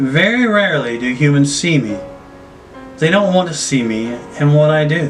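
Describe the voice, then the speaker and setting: Over clear music in the background, a squeaky, put-on character voice speaks at a moderate pace. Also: man, fairly high pitch for a man. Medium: read story. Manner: carefree, sweetly calm.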